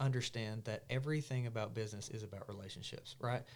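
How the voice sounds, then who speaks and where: A man with an Arkansas accent speaks at a fairly quick pace. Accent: southern US, Arkansas. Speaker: market owner and health content creator. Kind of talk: podcast interview. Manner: animated.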